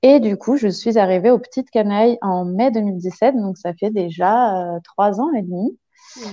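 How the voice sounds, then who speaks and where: A woman speaks at a fairly slow pace, her medium-pitched voice showing ordinary pitch variation. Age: 30s. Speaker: childcare worker. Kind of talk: casual interview. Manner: hesitant, many fillers.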